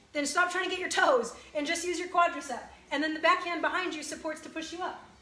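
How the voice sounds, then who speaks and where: A woman talks at a very fast pace in a raised, projected voice with a bright, sharp tone, and audible room echo around her. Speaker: fitness instructor. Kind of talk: workout instruction. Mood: encouraging, warm. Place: home room. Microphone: phone near.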